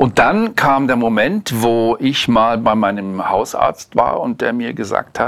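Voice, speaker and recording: With ordinary pitch variation, a man speaks at a medium pitch and a fairly slow pace. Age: 60s. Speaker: interviewee. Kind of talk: casual chat. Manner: halting.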